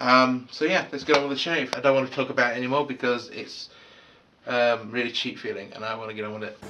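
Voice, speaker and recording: Pitched in the middle range, a man's voice competes with noticeable background noise. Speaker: product reviewer. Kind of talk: casual video review. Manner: hesitant, many fillers.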